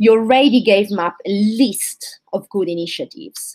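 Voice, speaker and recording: A woman speaks with an Italian accent. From southern Italy. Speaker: physician, candidate for society president. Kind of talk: live Q&A.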